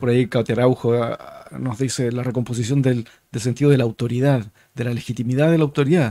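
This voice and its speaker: A man's medium-pitched voice, very fast and fairly even in intonation, dry with no echo against a quiet background. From Chile. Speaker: podcast host, think tank director; podcast host. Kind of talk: interview conversation. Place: studio. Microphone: studio mic.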